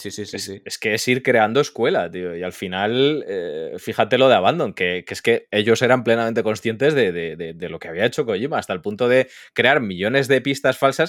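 With an ordinary speaking voice, the speaker moves at a fairly quick pace, using lively intonation and big swings in loudness. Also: man, medium pitch for a man. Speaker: podcast guest, gaming content creator. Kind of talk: casual chat.

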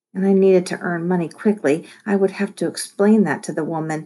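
The clip captures reading aloud in a natural voice.

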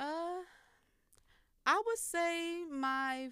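A woman speaks in a raised, projected voice with a bright, sharp tone and ordinary pitch variation. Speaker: singer-songwriter and college student. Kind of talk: casual interview chat.

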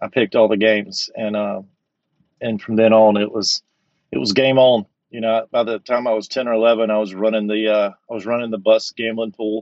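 In a Southern US accent, a man with a medium-pitched voice talks at a fairly quick pace in a flat, monotone intonation. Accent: Southern American. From Georgia, US South. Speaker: recovering compulsive gambler. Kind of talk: interview, personal story.

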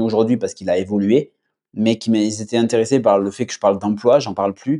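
A man at medium pitch with a dark, mellow tone, fairly quick pace and fairly even intonation, over a quiet background. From southwestern France. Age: 20s. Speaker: growth marketer and agency founder. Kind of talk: interview. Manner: casual, with many fillers.

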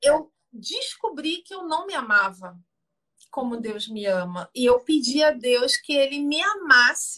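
A woman projects a raised voice with a bright, sharp tone. She speaks at a very slow pace with very wide pitch swings. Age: 50s. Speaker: theologian and image consultant. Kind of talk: casual chat. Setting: Instagram live video call.

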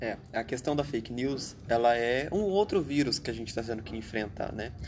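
Medium in pitch, a man speaks in a plain, everyday voice at a fairly slow pace. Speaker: podcast co-host. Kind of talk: casual political discussion.

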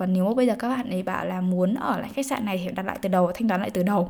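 The woman's voice sits at a medium pitch. She speaks very fast. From Vietnam. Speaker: podcaster and life coach. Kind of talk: casual storytelling monologue. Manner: animated.

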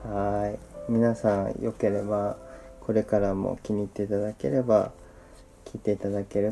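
The man talks at a fairly low pitch with monotone, flat intonation. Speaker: podcast host. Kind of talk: casual chat. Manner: soothing.

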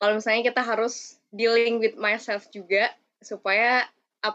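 Bright, sharp tone from a woman, fairly high in pitch, at a moderate pace. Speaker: student podcast host. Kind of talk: casual podcast interview.

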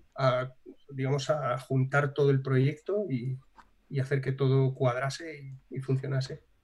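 A man's somewhat breathy voice at a fairly slow pace and medium pitch. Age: 30s. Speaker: animation studio founder and blogger. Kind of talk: casual interview. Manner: animated.

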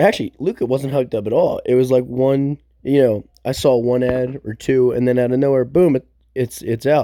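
Heard dry and close with no echo, a man speaks at a moderate pace in a dark, mellow tone with ordinary pitch variation. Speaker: film review podcaster. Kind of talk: casual chat. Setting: at home on couch. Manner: casual, halting.

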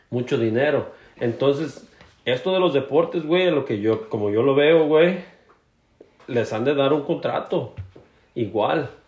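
Delivered at a fairly slow pace with long, frequent pauses, the voice is somewhat breathy and shows ordinary pitch variation. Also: man, fairly high pitch for a man. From Mexico, Jalisco coast. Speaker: podcast co-host. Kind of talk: casual chat.

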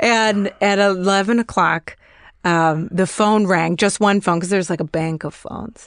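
A woman with an American accent speaks in an unremarkable speaking voice at medium pitch, with ordinary pitch variation, at a moderate pace against a quiet background. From US Midwest, Chicago. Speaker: comedian. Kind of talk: storytelling in casual chat.

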